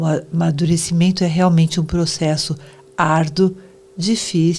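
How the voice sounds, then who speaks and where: A woman with a fairly low pitch talks at a very slow pace against noticeable background noise. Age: 70s. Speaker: psychoanalyst. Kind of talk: interview.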